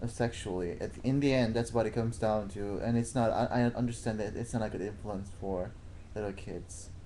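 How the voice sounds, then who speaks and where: Speaking at a fairly quick pace, a man with a slight non-native accent keeps a medium pitch and fairly even intonation. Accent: slight foreign. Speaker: boyfriend. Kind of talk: casual chat. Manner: halting.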